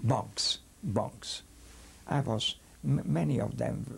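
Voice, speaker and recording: Very deep, low pitch from a man, with very wide pitch swings and noticeable background noise. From Hungary. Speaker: rabbi. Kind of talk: testimony. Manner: halting.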